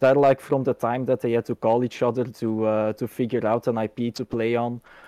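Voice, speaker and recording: In a Dutch accent, a man with medium pitch and a dark, mellow tone talks at a moderate pace, the sound dry and close with no echo over a quiet background. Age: 20s. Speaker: gaming community organizer and engineering student. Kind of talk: casual interview. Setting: video call.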